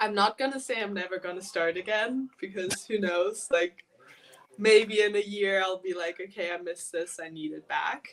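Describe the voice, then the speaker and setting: This woman has an American accent and a medium pitch. She talks at a moderate pace with ordinary pitch variation. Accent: American-sounding English. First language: German. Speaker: elite rower. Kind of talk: casual interview chat. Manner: hesitant, many fillers.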